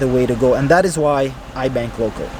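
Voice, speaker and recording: Noticeable background noise fills the clip. A man speaks fairly quickly over it. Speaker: real estate investor and vlogger. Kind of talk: casual vlog narration. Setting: car wash waiting area.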